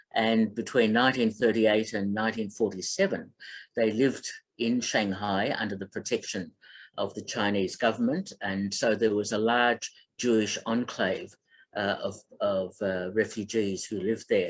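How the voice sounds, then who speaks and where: Speaking at a moderate pace with fairly even intonation, a man talks with an Australian accent. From Melbourne, Australia. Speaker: film critic and radio host. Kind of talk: online talk. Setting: online presentation. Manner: halting, many fillers.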